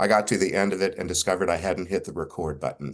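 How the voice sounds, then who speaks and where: This man has an American accent and speaks at a fairly quick pace. His intonation stays fairly even. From Texas. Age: 60s. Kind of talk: conference talk. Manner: halting, with many fillers.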